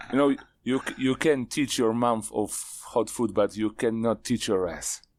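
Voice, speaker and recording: Moderate pace and fairly even intonation from a man of medium pitch with a Polish accent. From Poland. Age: 40s. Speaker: knife maker. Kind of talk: casual chat.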